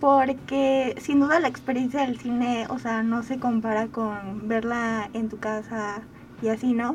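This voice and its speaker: A woman speaks at a fairly slow pace with fairly even intonation and a fairly high pitch. It is an unremarkable speaking voice. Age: 20s. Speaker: podcaster and communication student. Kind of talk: radio interview.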